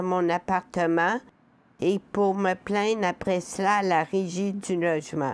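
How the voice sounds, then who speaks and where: Very slowly, a woman speaks at a medium pitch with fairly even intonation. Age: 60s. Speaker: person with lived experience of poverty. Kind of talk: testimony.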